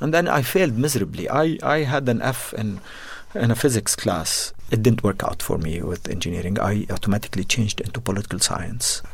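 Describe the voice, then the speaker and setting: The speaker moves at a fairly quick pace with lively intonation. Noticeable background noise runs underneath. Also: man, medium pitch for a man. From Jordan. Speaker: business founder. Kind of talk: interview. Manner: halting, many fillers.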